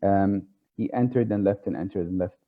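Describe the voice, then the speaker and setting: A man with an Arabic accent speaks at a fairly low pitch. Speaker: tarot speaker. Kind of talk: lecture. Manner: halting, many fillers.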